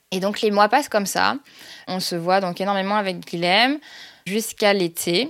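In a very clean recording with a silent background, a woman speaks at a moderate pace in a medium pitch, with ordinary pitch variation and long, frequent pauses. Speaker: storyteller sharing her love story. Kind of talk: personal story narration. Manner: hesitant, many fillers.

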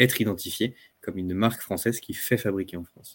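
A man speaks very fast at a fairly low pitch with fairly even intonation, in a dry, close recording with no echo, very clean and with a silent background. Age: 30s. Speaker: clothing brand co-founder, entrepreneur. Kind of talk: podcast interview.

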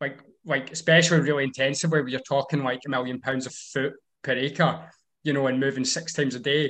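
In a Scottish accent, a man speaks with flat, monotone intonation. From Scotland, Ayrshire. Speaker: farmer. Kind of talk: casual chat. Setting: video call.

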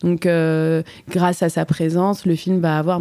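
This woman's voice sits at a fairly low pitch and has a dark, mellow tone. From Switzerland. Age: 40s. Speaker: actress and stage director. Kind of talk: interview. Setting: café.

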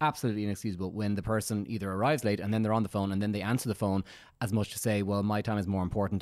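A man's fairly low-pitched voice in a very clean recording with a silent background. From Dublin, Ireland. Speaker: dating agency owner, podcast co-host. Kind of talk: casual chat.

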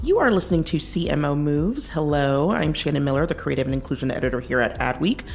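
With music in the background, a woman speaks very fast at a very even loudness and hardly any pauses. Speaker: podcast host, interviewer. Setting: live event interview.

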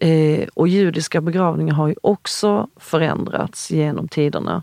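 Recorded dry and close with no echo against a quiet background, a woman speaks. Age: 40s. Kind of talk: interview conversation. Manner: halting, many fillers and restarts.

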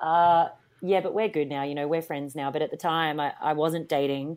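A woman speaks with an Australian accent at a moderate pace. Her pitch is very deep and low, and the recording is very clean with a silent background. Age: 30s. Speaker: TV personality and actress. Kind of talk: casual chat. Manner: animated.

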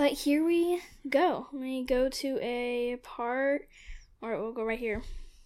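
A soft-spoken woman talks at high pitch and a very slow pace. The recording is very clean, with a silent background. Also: ordinary pitch variation. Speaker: podcast co-host. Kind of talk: casual chat.

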